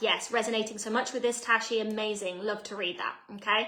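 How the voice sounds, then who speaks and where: A woman with an English accent speaks at a fairly quick pace. Her voice is fairly high in pitch, with a bright, sharp tone. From England. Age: 30s. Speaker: personal development coach. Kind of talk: live online masterclass. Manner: animated.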